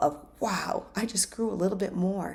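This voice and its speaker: An ordinary speaking voice from a woman, medium in pitch with ordinary pitch variation, on a very clean recording with a silent background. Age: 60s. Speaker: life coach. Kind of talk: self-help talk.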